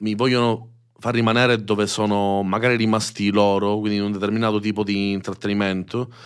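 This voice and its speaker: This man's pitch is fairly low and his intonation monotone and flat. He speaks at a fairly quick pace. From Sicily (Messina). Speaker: youtuber, streamer and musician. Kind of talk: casual interview chat.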